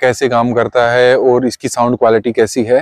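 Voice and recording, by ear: This man's voice is clear and smooth, with a slightly mellow tone. The sound is dry and close, with no echo.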